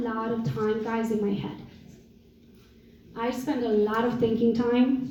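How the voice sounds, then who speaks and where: A woman speaks in a Romanian accent, her tone animated and her pitch high. Audible room echo and noticeable background noise surround her. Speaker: real estate entrepreneur and coach. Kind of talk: motivational talk.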